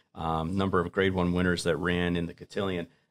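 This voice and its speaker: A man's very deep, low voice with fairly even intonation. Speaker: racing stable manager and accountant. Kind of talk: casual panel discussion. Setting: studio. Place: studio. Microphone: studio mic.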